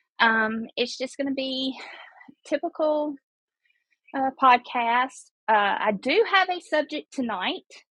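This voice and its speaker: A woman with a Mississippi accent speaks at a high pitch and a very slow pace, her bright, sharp tone heard dry and close with no echo, broken by long, frequent pauses. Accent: Southern US (Mississippi). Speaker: podcaster calling in. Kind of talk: casual chat. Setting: call-in to live show.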